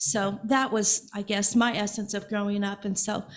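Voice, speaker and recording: Speech in an American accent comes at a moderate pace and sounds somewhat breathy. The intonation is monotone and flat. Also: woman. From Evansville, Indiana. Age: 60s. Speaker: congregation member. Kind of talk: personal sharing in church service. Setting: church.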